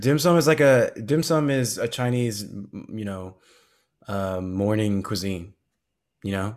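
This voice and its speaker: On a very clean recording with a silent background, a man with an American accent speaks in a normal speaking voice, fairly low in pitch, at a fairly slow pace, with lively intonation and big swings in loudness. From Southern California. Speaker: podcast co-host. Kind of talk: casual chat.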